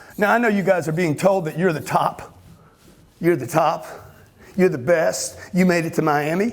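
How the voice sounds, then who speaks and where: This man has a Louisiana accent and a high pitch, speaking at a moderate pace with ordinary pitch variation. His tone is animated, broken up by long, frequent pauses. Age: 60s. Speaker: motivational speaker. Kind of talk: motivational talk.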